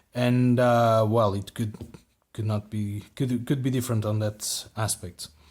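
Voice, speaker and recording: Speaking in a non-native accent, a man at medium pitch keeps a monotone, flat intonation and a fairly slow pace. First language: not English. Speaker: flashlight reviewer. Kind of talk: product review. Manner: halting, many repeated words.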